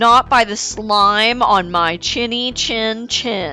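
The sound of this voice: The pitch varies in an ordinary way. The delivery is an unforced reading voice.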